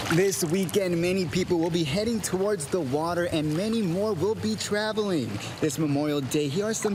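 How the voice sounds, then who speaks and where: A man with an American accent, high pitch and lively intonation, very even in loudness at a moderate pace, over noticeable background noise. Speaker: local TV news anchor and multimedia journalist. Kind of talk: on-location reporter stand-up.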